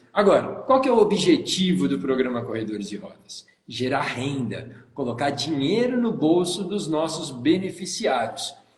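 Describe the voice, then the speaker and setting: A man's fairly high voice in a São Paulo accent, animated in tone with very wide pitch swings, fairly slow yet with hardly any pauses, amid noticeable background noise and audible room echo. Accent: São Paulo (paulista) Brazilian Portuguese. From São Paulo state, Brazil. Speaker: tourism consultant and live show host. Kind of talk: live stream hosting. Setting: Instagram live video.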